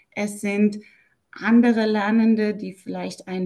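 At a very slow pace, a woman speaks in a dark, mellow tone that is somewhat breathy, with fairly even intonation. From Germany. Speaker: German language teacher. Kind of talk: interview.

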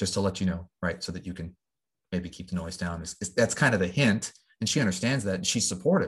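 A man's very deep, low, somewhat breathy voice at a very fast pace, with ordinary pitch variation against a quiet background. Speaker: podcast host. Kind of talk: solo podcast monologue. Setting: home recording with microphone and pop filter. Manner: unscripted, with frequent fillers.

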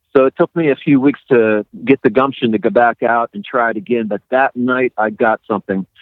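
A man talks at a moderate pace in an unremarkable speaking voice. His pitch sits in the medium range with ordinary pitch variation. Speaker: ghost photographer and author. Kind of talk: casual interview chat.

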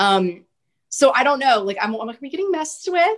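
A woman talks with a Texan accent. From central Texas, small rural town. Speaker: podcast host guest. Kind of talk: casual interview chat.

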